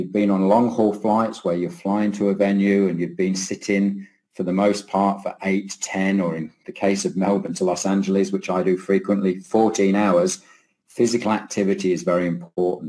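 Here a man talks at a moderate pace with a fairly low pitch and a dark, mellow tone. His intonation is monotone and flat. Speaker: keynote speaker, professor. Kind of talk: lecture. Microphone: webcam.

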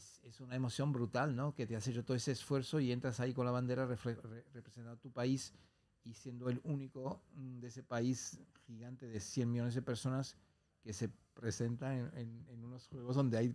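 Big swings in loudness mark this man's dark, mellow tone at a medium pitch. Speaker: Olympic skier and singer; podcast guest. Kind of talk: podcast interview. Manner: halting, many repetitions. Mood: warm, reflective. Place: studio. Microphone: studio mic.

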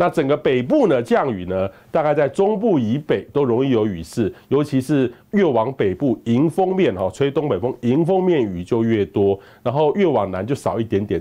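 A man with a Taiwanese accent and a dark, mellow tone speaks with very wide pitch swings. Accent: Taiwanese Mandarin. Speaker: meteorologist; presenter. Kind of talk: weather forecast. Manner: conversational, many filler particles. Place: studio. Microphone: lapel.

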